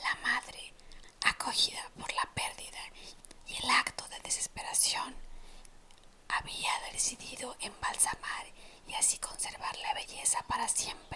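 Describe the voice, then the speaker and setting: A whisper at a fairly slow pace, broken by long, frequent pauses, amid noticeable background noise. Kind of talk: ASMR whispered storytelling of urban legends. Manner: whispered, soft-spoken.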